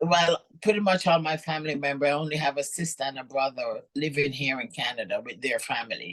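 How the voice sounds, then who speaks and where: A woman with a Jamaican accent, very deep and low in pitch, at a fairly quick pace with ordinary pitch variation. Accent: Jamaican, charming. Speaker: professional bodybuilder. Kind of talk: interview. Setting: podcast.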